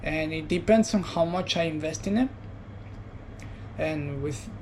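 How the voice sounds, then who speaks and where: Audible room echo surrounds a man with a high pitch and ordinary pitch variation. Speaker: vlogger. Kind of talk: personal reflection monologue. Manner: soft-spoken; halting.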